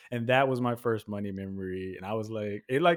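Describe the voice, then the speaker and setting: In a very clean recording with a silent background, a man with an American accent and a medium pitch talks at a fairly quick pace with lively intonation. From Texas, Houston area. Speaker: podcaster and voice actor. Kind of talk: casual interview. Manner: animated.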